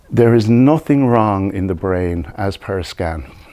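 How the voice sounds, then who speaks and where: This man has a fairly low pitch and a dark, mellow tone. He speaks with an Irish accent and lively intonation. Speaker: hypnotherapist. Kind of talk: presentation. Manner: deliberately slowed.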